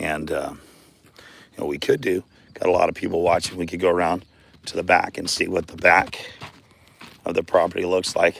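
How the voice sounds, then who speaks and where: Long, frequent pauses at a moderate pace, with noticeable background noise. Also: man. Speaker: weather vlogger. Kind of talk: live outdoor vlog. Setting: outdoors. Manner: hesitant, many fillers.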